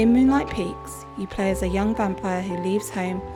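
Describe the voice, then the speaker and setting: A woman at a moderate pace, with music playing in the background. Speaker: game reviewer. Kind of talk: game review voiceover.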